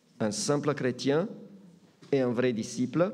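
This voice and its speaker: Audible room echo surrounds this recording. A man speaks at a very slow pace. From Romania, German-speaking minority. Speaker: pastor. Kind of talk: sermon. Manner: hesitant with fillers.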